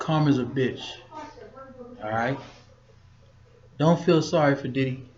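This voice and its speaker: A man with a fairly high pitch speaks at a fairly slow pace, his intonation fairly even and broken by long, frequent pauses. Audible room echo and noticeable background noise surround his voice. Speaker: podcast host, former bodyguard. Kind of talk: motivational talk. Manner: casual.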